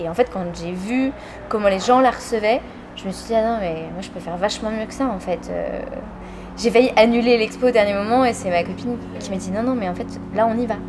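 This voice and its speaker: A woman talks at a fairly quick pace with long, frequent pauses, big swings in loudness, a fairly high pitch and ordinary pitch variation, all over noticeable background noise. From France, village south of Orléans. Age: 30s. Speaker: photographer and artist. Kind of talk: interview. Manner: casual, hesitant with frequent fillers.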